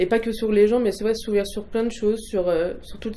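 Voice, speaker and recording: Her dark, mellow tone and fairly even intonation come through with audible room echo as a woman speaks. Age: 20s. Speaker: religious convert. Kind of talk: testimony. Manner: halting, many hesitations.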